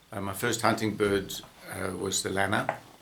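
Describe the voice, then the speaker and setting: A man talks against noticeable background noise. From South Africa, Johannesburg. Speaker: falconer and former veterinarian. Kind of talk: interview. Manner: halting, many fillers.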